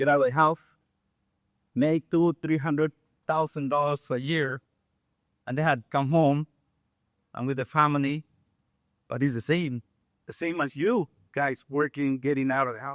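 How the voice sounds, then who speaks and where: A man with a fairly high pitch leaves long, frequent pauses, recorded in a dry, close sound with no echo. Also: moderate pace. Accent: Mexican. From Mexico City, Mexico. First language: Spanish. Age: 60s. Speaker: contractor. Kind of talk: life story talk. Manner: animated.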